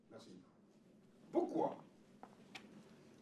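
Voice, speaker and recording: A man speaks with noticeable background noise. Room echo is audible. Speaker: pastor. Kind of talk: sermon.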